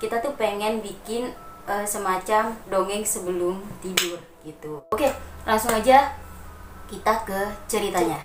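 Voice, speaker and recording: Amid noticeable background noise, a woman with medium pitch and ordinary pitch variation speaks at a fairly slow pace, leaving long, frequent pauses. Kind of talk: casual talk to camera.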